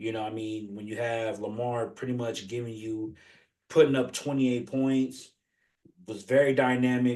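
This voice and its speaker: Speaking at a moderate pace and a medium pitch, a man keeps fairly even intonation while his loudness swings widely. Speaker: sports podcast co-host. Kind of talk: casual sports chat. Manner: halting, filler-heavy.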